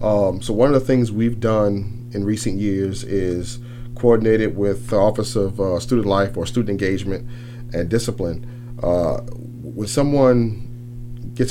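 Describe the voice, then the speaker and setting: Fairly even intonation at a moderate pace over noticeable background noise. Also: man. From New Orleans, Louisiana. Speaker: campus police chief. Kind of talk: radio interview answers. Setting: radio studio. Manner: relaxed, conversational.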